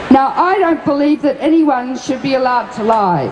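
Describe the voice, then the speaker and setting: Over noticeable background noise, a woman with a high pitch speaks at a moderate pace with lively intonation. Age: 70s. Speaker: anti-nuclear activist and physician. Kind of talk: speech at festival seminar. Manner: impassioned.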